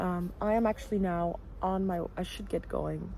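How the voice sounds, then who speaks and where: A woman with a Belgian accent. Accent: non-American, Belgian. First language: Dutch. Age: 20s. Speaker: vlogger. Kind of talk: casual vlog talk.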